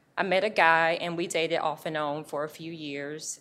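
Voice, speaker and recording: Using an unremarkable speaking voice, a woman with a fairly low pitch talks with ordinary pitch variation. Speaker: public defender. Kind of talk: testimony. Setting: stage with audience.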